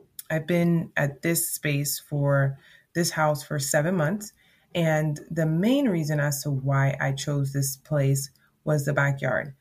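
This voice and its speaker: Very slow, somewhat breathy speech with fairly even intonation. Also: woman. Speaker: podcast host. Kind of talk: solo podcast monologue. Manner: conversational, filler-heavy.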